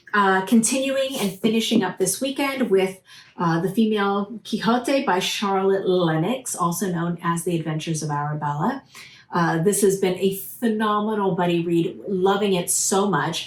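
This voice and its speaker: A woman speaks at a moderate pace and medium pitch, with ordinary pitch variation. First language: Portuguese. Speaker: book reviewer. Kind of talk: casual vlog review. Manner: hesitant with many fillers.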